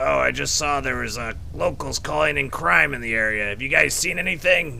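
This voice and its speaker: A man uses a put-on character voice at a medium pitch. He keeps a moderate pace over clear background noise. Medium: game stream. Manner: polite, hesitant, earnest.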